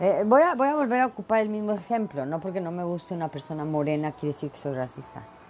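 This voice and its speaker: A woman's fairly low voice at a very fast pace, with very wide pitch swings and hardly any pauses. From Mexico, Veracruz. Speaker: podcast host. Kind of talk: casual monologue. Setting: home office. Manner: animated.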